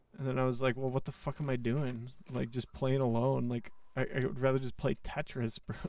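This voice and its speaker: Speaking fairly quickly, a man uses a normal speaking voice at medium pitch with fairly even intonation. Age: 20s. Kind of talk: casual chat. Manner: casual, profane.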